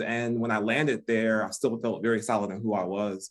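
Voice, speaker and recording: With an American accent, a man speaks at a medium pitch. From US Midwest, Detroit. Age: 50s. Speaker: relationship expert. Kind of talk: podcast interview.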